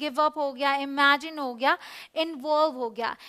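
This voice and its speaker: A woman projects her voice loudly. Her tone is bright and sharp, and her pitch is high. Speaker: English teacher. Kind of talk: educational lesson video, explanatory teaching talk.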